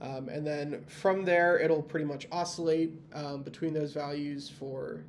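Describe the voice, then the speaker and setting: A fairly high-pitched man at a moderate pace, fairly even in intonation, with audible room echo. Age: 20s. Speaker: university student. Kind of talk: tutorial. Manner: hesitant, many fillers.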